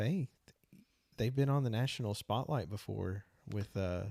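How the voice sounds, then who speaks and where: In a dry, close recording with no echo, a man speaks at a moderate pace with a fairly low pitch and a dark, mellow, relaxed tone. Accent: Southern. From East Texas. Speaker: podcast co-host, music educator. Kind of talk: casual chat. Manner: relaxed, laid-back.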